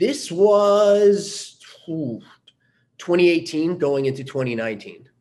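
Amid audible room echo, a man speaks at a high pitch and a very slow pace. His pitch swings very widely. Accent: American. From US Northeast, Long Island, New York. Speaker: army veteran and company founder. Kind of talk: interview.

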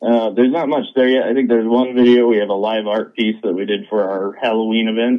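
Speaking very fast with hardly any pauses, a man with an American accent holds a medium pitch and fairly even intonation. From Idaho. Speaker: comic book creator. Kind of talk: interview. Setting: phone call.

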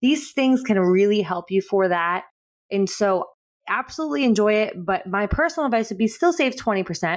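Lively intonation runs through a woman's medium-pitched voice. She talks very fast. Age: 30s. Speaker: podcast co-host. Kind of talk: casual chat.

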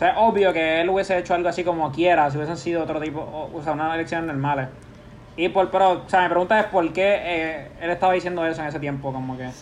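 Talking at a very fast pace, a man with a Puerto Rican accent keeps a fairly even intonation at a high pitch. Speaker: podcast host. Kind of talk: casual chat.

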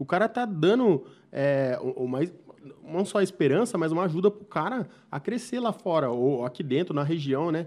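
Lively in intonation, a man speaks at a high pitch and a moderate pace. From Brazil, São Roque region (São Paulo state). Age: 30s. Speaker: podcast host. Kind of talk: casual interview chat. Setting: studio.

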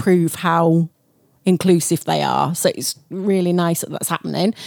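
In a dry, close sound with no echo, a woman speaks at a moderate pace with an unremarkable speaking voice of medium pitch. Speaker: podcast co-host. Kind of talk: casual chat.

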